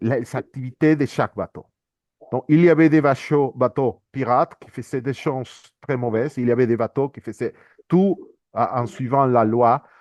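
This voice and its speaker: Fairly slow speech with ordinary pitch variation, a dry, close sound without echo and a quiet background. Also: man. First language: not French (speaking French). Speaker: international organisation economist, speaker. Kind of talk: conference presentation. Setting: workshop with audience. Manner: halting, many repetitions and hesitations.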